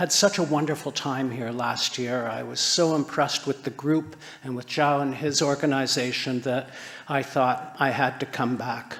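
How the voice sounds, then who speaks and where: Over noticeable background noise, a fairly high-pitched man speaks at a moderate pace with fairly even intonation. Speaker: conference speaker on sustainable building. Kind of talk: conference talk.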